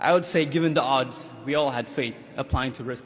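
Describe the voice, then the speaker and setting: The speaker talks at a fairly quick pace with an Ethiopian accent. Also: man. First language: Amharic. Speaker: graduating student. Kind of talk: commencement speech. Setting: stage with audience.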